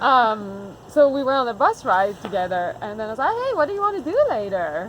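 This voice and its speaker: In a Quebec accent, a woman speaks at a fairly quick pace and a fairly high pitch with very wide pitch swings. Background noise is noticeable. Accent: Québécois French-accented English. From Quebec, Montreal. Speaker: farmer. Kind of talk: casual chat.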